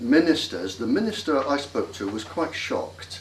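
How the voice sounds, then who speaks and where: With an English accent, a man swings his pitch very widely over noticeable background noise. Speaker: scientist. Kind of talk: interview. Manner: slow.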